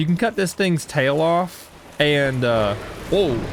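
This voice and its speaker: The speaker's animated tone moves in very wide pitch swings at a moderate pace, over noticeable background noise. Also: man. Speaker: gaming youtuber. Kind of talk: gameplay commentary. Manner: casual, animated.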